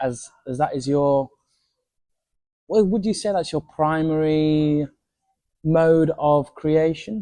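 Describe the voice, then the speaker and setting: A man with a Yorkshire accent speaks very slowly, leaving long, frequent pauses. His tone is dark and mellow, with ordinary pitch variation. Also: fairly high pitch for a man. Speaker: podcast host. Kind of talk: interview.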